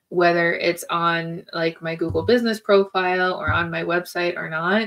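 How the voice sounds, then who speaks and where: Against a quiet background, an ordinary speaking voice carries fairly even intonation. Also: woman. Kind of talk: casual advice talk to camera. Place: home room.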